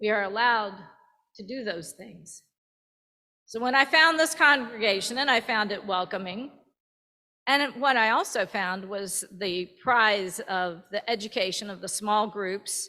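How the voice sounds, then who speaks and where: A bright, sharp tone at a fairly slow pace, with big swings in loudness. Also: woman, fairly high pitch for a woman, ordinary pitch variation. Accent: Virginian. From Virginia, US South. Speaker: church member. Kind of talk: testimony. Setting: church.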